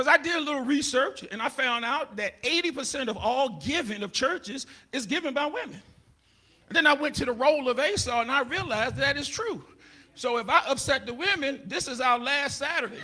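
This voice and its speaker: The voice is raised and projected, bright and sharp, with an animated tone, ordinary pitch variation and a fairly quick pace. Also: man, extremely high pitch for a man. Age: 60s. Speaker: comedian and pastor. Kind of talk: stand-up.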